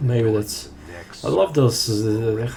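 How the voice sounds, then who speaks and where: Noticeable background noise sits under a man speaking at a moderate pace in a medium pitch. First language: not English. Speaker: speedrunner. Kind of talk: gameplay commentary. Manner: unscripted, halting with fillers.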